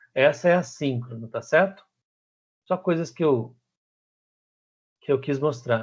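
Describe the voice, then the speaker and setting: A man at a fairly quick pace and fairly high pitch, ordinary pitch variation, over a quiet background. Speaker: teacher. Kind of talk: lecture. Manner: fast.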